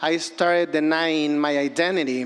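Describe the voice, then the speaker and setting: A man speaks with a Mexican accent. Noticeable background noise can be heard. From Mexico, Acapulco, Guerrero. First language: Spanish. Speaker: filmmaker. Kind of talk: personal storytelling speech.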